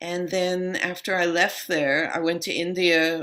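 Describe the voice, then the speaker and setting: Recorded very cleanly against a silent background, a woman with a New York accent speaks at a fairly low pitch in a bright, sharp tone. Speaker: yoga and meditation teacher. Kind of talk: interview.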